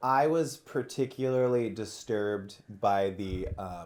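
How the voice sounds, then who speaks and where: A man talks in an ordinary speaking voice. His medium pitch carries lively intonation. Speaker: musician and podcaster. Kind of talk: casual conversation.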